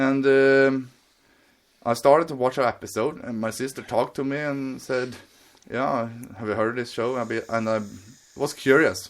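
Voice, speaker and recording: A man with a Swedish accent speaks at a moderate pace, leaving long, frequent pauses. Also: medium pitch for a man, fairly even intonation. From Sweden. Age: 20s. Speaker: podcast guest. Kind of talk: casual chat. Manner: halting.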